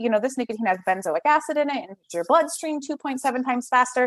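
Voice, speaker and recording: A woman speaks at a very fast pace in a high pitch with very wide pitch swings. The sound is dry and close with no echo. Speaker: public health program presenter. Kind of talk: conference presentation.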